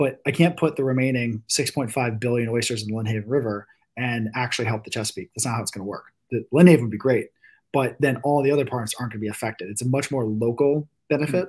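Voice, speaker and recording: Somewhat breathy, a man with an American accent talks at a very fast pace in a medium pitch with ordinary pitch variation. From Virginia Beach, Virginia. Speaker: venture capitalist and oyster farm co-owner. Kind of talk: casual chat.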